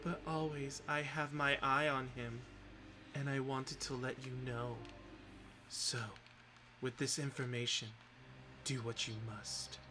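A man's put-on character voice at a medium pitch, over clear background noise. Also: fairly slow pace. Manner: gleeful, theatrical, conspiratorial.

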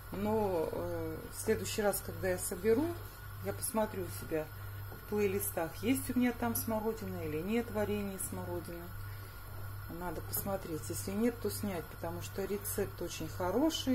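A woman's voice broken by long, frequent pauses, with noticeable background noise. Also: moderate pace. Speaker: home cook vlogger. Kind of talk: casual cooking vlog chat. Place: kitchen. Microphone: phone near.

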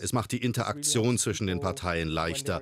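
Female speech marked by vocal fry, its intonation lively. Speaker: narrator of a TV report. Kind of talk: documentary report voice-over.

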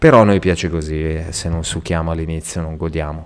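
This man has a very deep, low pitch. He talks at a fairly quick pace with fairly even intonation. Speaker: gaming youtuber. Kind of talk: live gameplay commentary. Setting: home recording at night.

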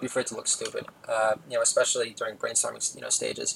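A man rattles along at a very fast pace, with noticeable background noise behind him. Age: 40s. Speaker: podcast host. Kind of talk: solo comedic monologue. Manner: rambling with many filler words.

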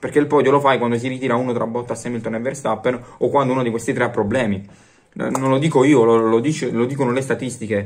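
A man at a medium pitch talks at a very fast pace. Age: young. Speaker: YouTuber sports commentator. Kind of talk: casual vlog commentary. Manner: animated. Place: home room. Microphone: phone near.

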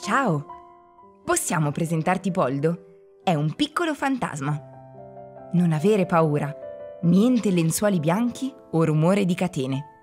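With music in the background, a woman with a fairly low pitch speaks at a very slow pace in a playful tone, her pitch swinging very widely while her loudness stays very even. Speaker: narrator. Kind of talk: children's museum narration. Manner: friendly, playful.

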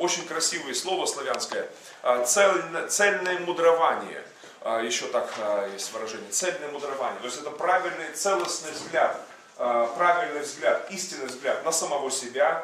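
The background has light noise and audible room echo. In it, a man talks at a moderate pace. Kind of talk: sermon. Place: hall.

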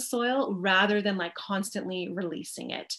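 Against a quiet background, a woman with a Canadian accent speaks at a moderate pace with ordinary pitch variation. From Canada. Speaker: organic farmer and teacher; guest lecturer. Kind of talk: presentation lecture. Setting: video call from home. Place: home room. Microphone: webcam.

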